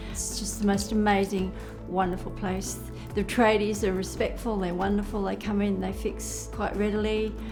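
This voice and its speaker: A woman with an Australian accent at a moderate pace, with music in the background. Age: 70s. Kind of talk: interview answer.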